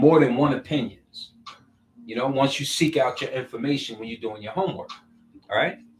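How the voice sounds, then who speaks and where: A man speaks in a fairly high pitch, his intonation lively. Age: 60s. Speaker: social media commentator. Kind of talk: casual monologue. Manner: halting.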